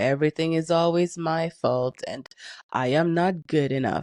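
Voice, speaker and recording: Over a quiet background, a woman with a French accent and a fairly low pitch speaks at a fairly slow pace, the sound dry and close with no echo. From Canada, Haitian-Caribbean family. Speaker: neuroscience educator. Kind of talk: motivational talk to camera. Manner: emphatic.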